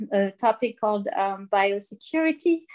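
A woman with a French accent speaks in a fairly high pitch on a very clean recording with a silent background. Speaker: marine plastic pollution scientist. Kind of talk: interview. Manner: hesitant, many fillers.

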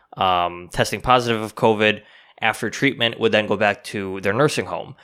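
Against a silent background in a very clean recording, a man with a fairly low pitch speaks in a bright, sharp tone with fairly even intonation. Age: 20s. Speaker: podcast co-host. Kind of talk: casual chat.

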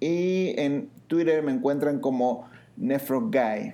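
A man with a dark, mellow tone. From Mexico. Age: 30s. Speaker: physician, internist and nephrologist podcast co-host. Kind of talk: casual chat.

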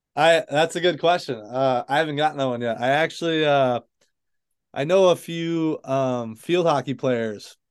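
With an American accent, a man talks in a plain, everyday voice at a fairly high pitch, with ordinary pitch variation, a moderate pace and a quiet background. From Michigan. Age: 20s. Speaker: author and former college hockey goalie. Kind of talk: interview.

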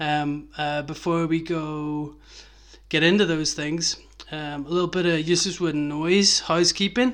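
In a Belfast accent, a man speaks at a fairly slow pace with a fairly high pitch and fairly even intonation. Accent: Belfast Northern Irish. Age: 30s. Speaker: skateboarding podcast host. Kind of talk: casual chat.

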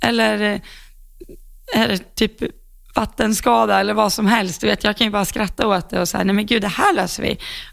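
A woman with a medium pitch and vocal fry talks at a moderate pace, her loudness very even and her intonation fairly even. Long, frequent pauses break up her speech. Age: 20s. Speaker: podcast co-host, horse rider. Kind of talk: casual chat.

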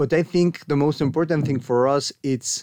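A man with a Mexican accent speaks at a moderate pace and fairly high pitch. The sound is dry and close with no echo, his pitch variation ordinary. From Mexico. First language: Spanish. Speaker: archaeologist and anthropology researcher. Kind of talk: casual interview. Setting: studio.

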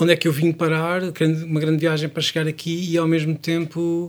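A man with a fairly high pitch and an unremarkable speaking voice. He talks at a moderate pace. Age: 40s. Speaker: songwriter and musician. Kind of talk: interview.

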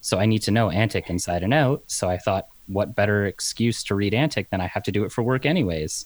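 With hardly any pauses, a man rattles along at a very fast pace in a fairly low pitch. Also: ordinary pitch variation, very even loudness. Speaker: articling law graduate, podcaster. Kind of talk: casual chat. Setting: video call.

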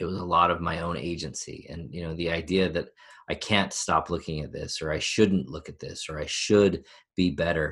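Using vocal fry and a very deep, low pitch, a man talks at a moderate pace with fairly even intonation and big swings in loudness. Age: 40s. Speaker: life coach. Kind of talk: interview.

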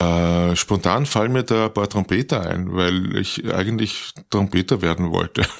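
Very deep, low pitch from a man at a fairly slow pace, hardly any pauses, ordinary pitch variation, very even loudness, very clean recording with a silent background. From Austria, Tulln (Lower Austria). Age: 60s. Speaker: professional musician and author. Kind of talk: interview. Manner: hesitant, with many repetitions.

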